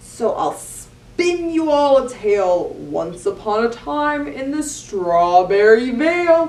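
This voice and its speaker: A woman's put-on character voice, high in pitch, with very wide pitch swings at a fairly slow pace. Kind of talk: bedtime story. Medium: read story.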